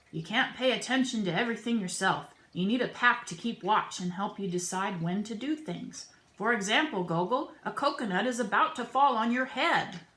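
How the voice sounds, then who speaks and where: Gruff and put-on, this character voice moves at a moderate pace. There are hardly any pauses. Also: woman, fairly high pitch for a woman. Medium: read story. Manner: gruff, blunt.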